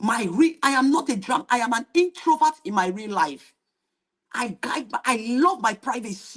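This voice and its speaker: With an animated tone, a woman speaks fairly slowly at a high pitch, swinging very widely in pitch. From Nigeria, Benin (Edo). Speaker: YouTube reaction streamer. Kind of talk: live stream monologue. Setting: live stream.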